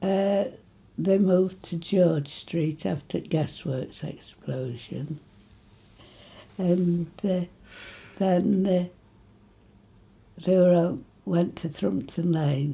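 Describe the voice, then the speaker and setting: Speaking very slowly with long, frequent pauses, a woman has a somewhat breathy, fairly low voice. She has an East Midlands accent and ordinary pitch variation. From England, Nottinghamshire (Retford); Nottinghamshire, England. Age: 80s+. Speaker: local elder reminiscing. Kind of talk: oral history interview. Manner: halting. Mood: cheerful, reminiscing. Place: home room.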